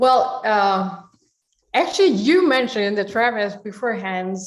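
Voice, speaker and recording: Speaking at a fairly slow pace in a room with audible echo, a woman keeps a medium pitch with ordinary variation. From South Korea. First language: Korean. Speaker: orchestra and opera conductor. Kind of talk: interview. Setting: online video event.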